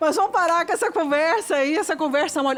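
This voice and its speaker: Noticeable background noise fills the clip. Through it, a woman talks. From Curitiba, southern Brazil. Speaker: podcast co-host. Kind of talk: casual podcast chat.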